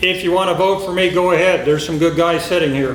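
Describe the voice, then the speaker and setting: A man talks in a high voice with fairly even intonation. Noticeable background noise and audible room echo surround him. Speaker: sheriff candidate. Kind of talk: campaign speech. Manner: loud.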